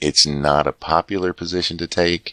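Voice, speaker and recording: With a very deep, low pitch, a man speaks in a monotone, flat intonation. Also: dry, close sound with no echo. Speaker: political commentator. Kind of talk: political commentary to camera.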